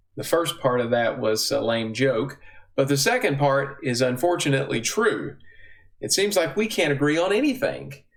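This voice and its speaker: At a moderate pace and very even loudness, a man with a Southern US accent talks in a fairly high pitch with lively intonation. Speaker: bible teacher. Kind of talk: teaching talk.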